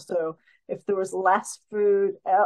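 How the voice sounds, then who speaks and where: A woman is speaking against a quiet background. Her pitch swings very widely. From US Northeast (New Jersey). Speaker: filmmaker. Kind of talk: interview. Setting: video call. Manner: animated. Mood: relaxed, explanatory. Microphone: video call.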